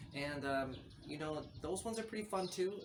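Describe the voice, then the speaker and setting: Audible room echo and noticeable background noise around a man speaking with ordinary pitch variation. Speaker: NFT artist and vlogger. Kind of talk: casual vlog talk to camera. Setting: outdoors on a balcony. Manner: fast.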